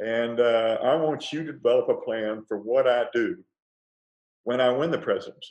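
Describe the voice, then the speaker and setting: A man with a Texan accent at a moderate pace. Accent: Texan American. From Texas, Fort Worth. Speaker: former presidential advisor. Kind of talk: interview about leadership.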